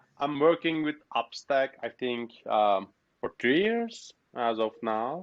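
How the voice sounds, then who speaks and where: A man speaking at a very slow pace. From Turkey. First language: Turkish. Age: 30s. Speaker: software developer. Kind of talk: interview. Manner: halting.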